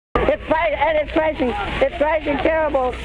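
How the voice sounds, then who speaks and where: Against noticeable background noise, a man talks in an extremely high pitch with fairly even intonation. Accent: American. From United States. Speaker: radio reporter. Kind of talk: live disaster report. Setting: outdoors. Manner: frantic, emotional.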